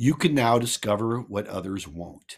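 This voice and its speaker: On a very clean recording with a silent background, a man with an American accent uses an unremarkable speaking voice, speaking at a moderate pace and fairly low pitch with ordinary pitch variation. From Missouri. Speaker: real estate investor and author. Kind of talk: reading aloud from own book.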